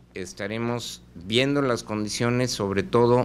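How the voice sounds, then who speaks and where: A man at a fairly slow pace, with fairly even intonation, over light background noise. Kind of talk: press statement. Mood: serious, measured. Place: office. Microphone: handheld.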